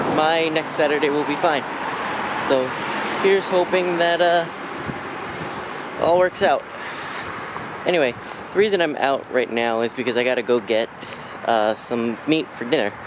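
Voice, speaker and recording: Long, frequent pauses break up a man's speech, recorded with a dry sound and no echo over noticeable background noise. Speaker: vlogger. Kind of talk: casual vlog chat. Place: street. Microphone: phone near.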